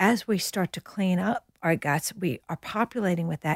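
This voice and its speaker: In a very clean recording with a silent background and a dry, close sound with no echo, a woman with an American accent speaks in an animated tone, her medium-pitched voice somewhat breathy. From New York, US. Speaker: nutritionist and author. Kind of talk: interview.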